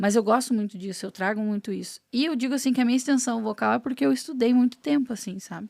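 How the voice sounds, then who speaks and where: On a very clean recording with a silent background and a dry, close sound with no echo, a woman talks at a very fast pace with hardly any pauses, in a fairly high pitch with ordinary variation. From Palmeira, Paraná, southern Brazil. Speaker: singer. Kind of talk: casual chat.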